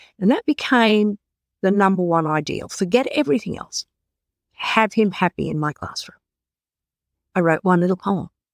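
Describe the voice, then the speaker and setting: A woman's medium-pitched voice with an Australian accent, lively intonation, a moderate pace and long, frequent pauses, in a dry, close sound with no echo. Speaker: author and literacy specialist. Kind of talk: interview answers, storytelling.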